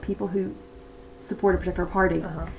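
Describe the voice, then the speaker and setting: Against noticeable background noise, a woman with a Northern Irish accent speaks at medium pitch. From Northern Ireland. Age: 30s. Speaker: election enthusiast. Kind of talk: casual chat.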